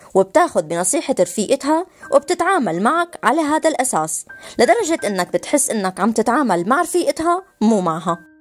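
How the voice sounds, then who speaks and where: A high-pitched woman's voice with very wide pitch swings, a Levantine accent and a moderate pace, the sound dry and close with no echo, over music in the background. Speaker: voice-over narrator. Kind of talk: explainer narration addressed to young men on relationships.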